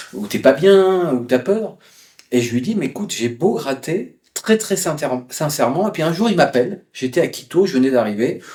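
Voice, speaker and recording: With a dark, mellow tone and a fairly high pitch, a man speaks at a moderate pace, his pitch swinging very widely. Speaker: travel writer. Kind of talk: interview. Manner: hesitant, many fillers.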